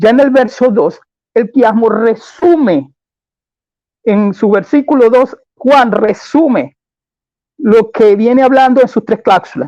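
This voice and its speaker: A man's extremely high-pitched voice with a dark, mellow tone, ordinary pitch variation and a fairly slow pace, in a dry, close sound with no echo. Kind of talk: debate. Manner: deliberately slowed.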